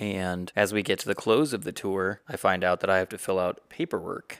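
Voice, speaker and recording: Recorded very cleanly against a silent background, dry and close with no echo, a man with an American accent talks at a moderate pace in an ordinary speaking voice, his pitch fairly low and its variation ordinary. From South Carolina. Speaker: podcast co-host, medical student. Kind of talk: casual chat.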